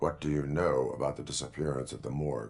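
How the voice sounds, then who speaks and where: A man's put-on character voice, very deep and low in pitch, at a very fast pace. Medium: video game. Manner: terse, flat, procedural.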